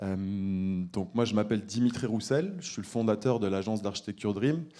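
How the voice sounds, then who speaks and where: Over a very clean recording with a silent background, a man talks at a moderate pace in a fairly low pitch with a dark, mellow tone. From France, Saint-Étienne. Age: 30s. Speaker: architect. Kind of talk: conference presentation. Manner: hesitant, many fillers and repetitions.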